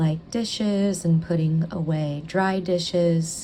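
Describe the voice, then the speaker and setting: A woman's plain, everyday voice, fairly low in pitch, with fairly even intonation. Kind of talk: ASMR talking vlog, calm narration of housework. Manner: calm, soft, relaxing.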